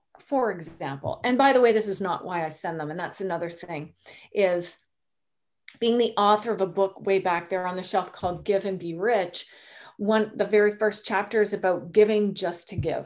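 A woman's ordinary speaking voice with a Canadian accent, medium in pitch, with ordinary pitch variation and a moderate pace. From Canada. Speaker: sales and networking coach, entrepreneur. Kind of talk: interview.

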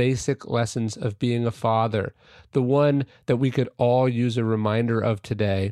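Reading aloud in a natural voice, the speaker holds a fairly even intonation.

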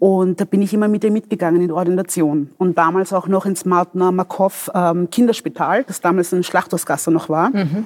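A woman with a normal speaking voice talks at a moderate pace in a medium pitch, her intonation fairly even and the sound dry and close with no echo. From Vienna, Austria. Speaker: doctor and politician. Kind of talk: interview.

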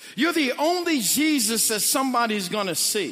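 A man's bright, sharp tone in an American accent, with very wide pitch swings and audible room echo. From St. Louis, Missouri (North St. Louis). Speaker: pastor. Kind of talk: sermon. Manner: animated.

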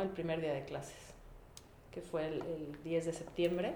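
A woman with a Mexican accent talks at a fairly slow pace and a fairly low pitch. Audible room echo surrounds her voice. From Mexico, Puebla. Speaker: veterinarian and photographer. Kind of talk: casual interview. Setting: home kitchen.

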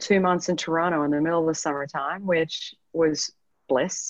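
In a quiet setting, a woman talks at a moderate pace, her intonation fairly even. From Canada, Edmonton, Alberta. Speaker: business consultant and entrepreneur. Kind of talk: interview, personal story.

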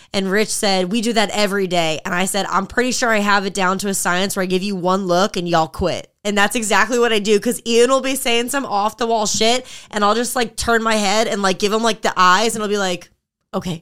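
A woman talks at a fairly quick pace in a medium pitch with fairly even intonation, in a very clean recording with a silent background. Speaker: fitness podcast co-host and group training coach. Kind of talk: casual chat. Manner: loud.

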